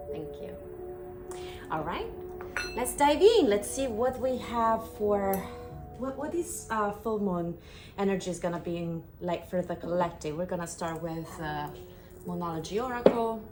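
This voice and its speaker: With a strong non-native accent and lively intonation, a woman talks at a moderate pace and medium pitch, leaving long, frequent pauses, with audible room echo and music playing in the background. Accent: strong foreign. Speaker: tarot reader. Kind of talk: tarot reading with guided Reiki cleansing.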